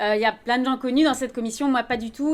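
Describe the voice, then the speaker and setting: A woman speaks at a fairly quick pace in a shaky voice with fairly even intonation. Noticeable background noise can be heard. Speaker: philosopher, commission member, conference speaker. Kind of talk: conference talk. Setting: conference with audience. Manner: trembling voice.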